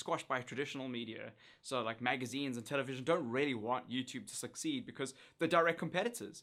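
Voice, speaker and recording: A man with a South African accent, medium pitch, ordinary pitch variation, and a bright, sharp tone, at a very fast pace on a very clean recording with a silent background. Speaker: YouTuber, former TV presenter. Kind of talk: casual talk to camera.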